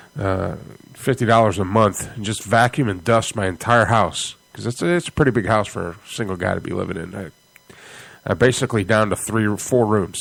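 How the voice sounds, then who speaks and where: Speaking at a fairly quick pace, a man with an American accent keeps a medium pitch with ordinary pitch variation. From Michigan, US. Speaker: internet radio host. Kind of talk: casual radio monologue. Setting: home studio.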